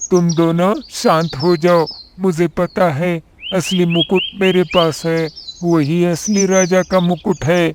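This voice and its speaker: This is a cartoonish character voice at a middle pitch. It moves at a fairly slow pace. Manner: confident.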